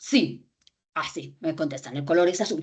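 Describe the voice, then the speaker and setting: The tone here is animated. It belongs to a woman. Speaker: lecturer on critical reading. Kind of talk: lecture. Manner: fast.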